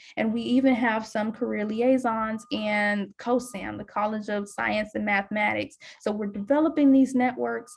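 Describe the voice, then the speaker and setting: A woman with a fairly high pitch and a somewhat breathy voice speaks with hardly any pauses and fairly even intonation. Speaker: university career advisor. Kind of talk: presentation. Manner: fast.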